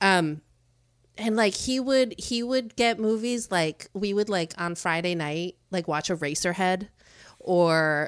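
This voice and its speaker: A woman with an American accent uses an ordinary speaking voice at medium pitch, with ordinary pitch variation. The recording is very clean, with a silent background. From Chicago suburbs, US Midwest. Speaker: creative studio co-founder. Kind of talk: casual chat.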